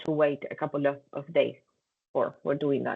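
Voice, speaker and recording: The speaker is a woman. She talks with a Spanish accent. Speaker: compliance trainer. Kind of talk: training session.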